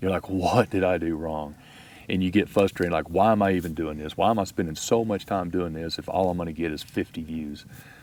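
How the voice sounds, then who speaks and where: A man with a Texas accent, a very deep, low pitch, a fairly quick pace and fairly even intonation. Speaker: outdoor video creator. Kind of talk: casual chat. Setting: outdoors at campfire.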